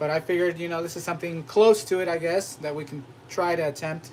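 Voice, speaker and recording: A man talks at a fairly quick pace with fairly even intonation. He has a plain, everyday voice. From US, Mexican-American family. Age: 30s. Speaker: cooking channel host. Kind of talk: casual live-stream chat. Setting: live stream.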